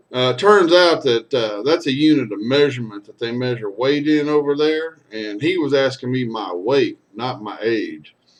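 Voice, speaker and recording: This man has a Texan accent and a medium pitch with ordinary variation. He talks at a moderate pace with hardly any pauses and big swings in loudness. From Texas. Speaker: storyteller and singer. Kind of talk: casual storytelling monologue.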